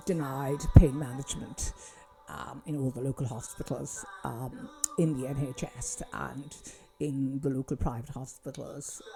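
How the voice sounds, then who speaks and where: Over music in the background, a woman speaks in a Kerry accent with a very deep, low pitch, at a fairly slow pace and with big swings in loudness. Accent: Irish (Kerry). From Kerry, south-west Ireland. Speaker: doctor. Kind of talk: casual talk to camera. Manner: hesitant, many fillers.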